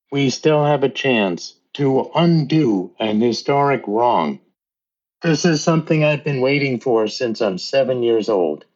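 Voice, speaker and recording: A man with an unremarkable speaking voice, fairly high in pitch, at a fairly slow pace, with ordinary pitch variation and very even loudness. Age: 60s. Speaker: teacher and tree conservation volunteer. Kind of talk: interview.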